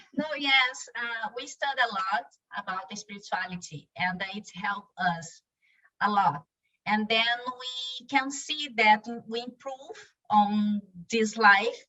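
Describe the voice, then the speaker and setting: This woman's voice is fairly high, with ordinary pitch variation. She speaks at a very slow pace, and her loudness swings widely. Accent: Brazilian Portuguese. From Brazil. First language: Portuguese. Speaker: spiritual YouTube channel co-founder. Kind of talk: podcast interview.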